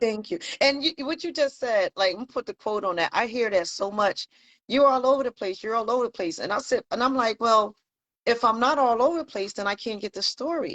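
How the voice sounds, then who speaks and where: With a normal speaking voice, a woman talks at a fairly quick pace and fairly high pitch with lively intonation, in a dry, close sound with no echo and a quiet background. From Pittsburgh, US. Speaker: online show host. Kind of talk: casual chat.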